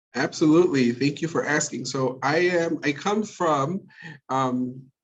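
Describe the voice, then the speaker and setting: A man with an American accent and a fairly high pitch for a man. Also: ordinary pitch variation. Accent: Chicago Mexican American English. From Chicago, Illinois (Little Village, Mexican American community). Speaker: teacher of language and literacy. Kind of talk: interview conversation. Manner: fast.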